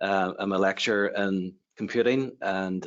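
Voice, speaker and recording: Speaking with an Irish accent, a man uses a fairly low pitch and fairly even intonation. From Ireland. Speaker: university lecturer in computing. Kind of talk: webinar presentation.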